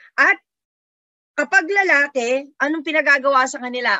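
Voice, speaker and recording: The woman's pitch is high. She keeps a moderate pace. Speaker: sociology professor. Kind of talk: interview. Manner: hesitant with fillers.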